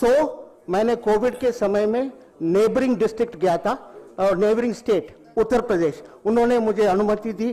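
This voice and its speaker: Against noticeable background noise, a man with a high pitch talks with ordinary pitch variation. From Tamil Nadu, India. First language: Tamil (speaking Hindi). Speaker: retired beekeeper and farmer. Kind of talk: public speech at event. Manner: halting, many fillers.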